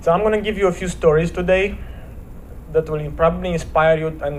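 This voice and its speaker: A man with a Romanian accent talks at a fairly quick pace, with a fairly high pitch and ordinary pitch variation. Noticeable background noise and audible room echo surround him. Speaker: motivational speaker. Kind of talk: inspirational talk at church service. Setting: church. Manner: hesitant, with repetitions.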